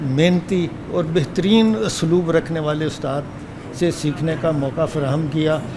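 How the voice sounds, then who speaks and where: Over noticeable background noise, a man talks with a fairly high pitch and fairly even intonation. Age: 70s. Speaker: course student. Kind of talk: speech at certificate ceremony.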